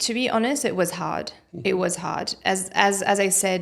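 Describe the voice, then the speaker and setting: Noticeable background noise behind a woman speaking at a moderate speed. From Jordan. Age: young. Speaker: general practitioner. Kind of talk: interview answer.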